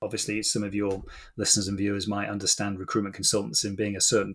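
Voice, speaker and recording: A man speaks with a British accent and a fairly low pitch. The recording is very clean, with a silent background. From UK. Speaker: executive coach. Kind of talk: interview conversation.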